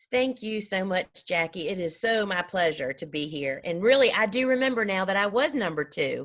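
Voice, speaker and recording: A woman with a Southern US accent speaks at a moderate pace and a medium pitch. Her pitch swings very widely, in a very clean recording with a silent background. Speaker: flower farmer. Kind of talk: podcast interview.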